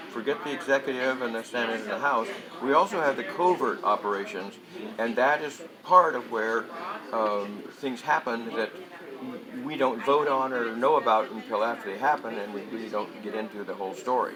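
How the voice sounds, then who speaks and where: Speaking with an American accent, a man uses a medium pitch and a moderate pace. His intonation is lively, and there is noticeable background noise. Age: 70s. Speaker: Vietnam-era veteran and convention speaker. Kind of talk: casual interview. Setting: political convention.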